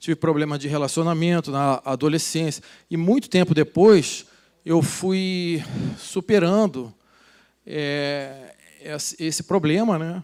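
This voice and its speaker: With long, frequent pauses, a man talks at a very slow pace in a fairly high pitch with ordinary pitch variation. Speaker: speaker at business event, author. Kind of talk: motivational talk on stage. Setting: stage with audience. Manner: improvised, hesitant.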